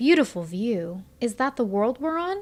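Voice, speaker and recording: A soft-spoken man in a put-on character voice, extremely high pitch, very wide pitch swings, at a moderate pace. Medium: read story. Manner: gentle, soft-spoken.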